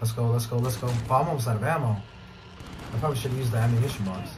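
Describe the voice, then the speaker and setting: Through noticeable background noise, a man speaks at a very fast pace with a medium pitch. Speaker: gaming YouTuber. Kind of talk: casual gameplay commentary. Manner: excited, reactive.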